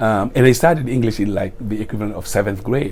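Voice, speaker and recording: A speaker with a Senegalese accent is heard amid noticeable background noise and audible room echo. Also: man. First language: Wolof. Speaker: retiring school principal. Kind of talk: interview.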